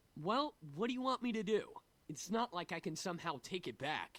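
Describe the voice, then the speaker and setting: This is a put-on character voice at a middle pitch. It moves at a fairly quick pace. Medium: machinima. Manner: blunt, brash.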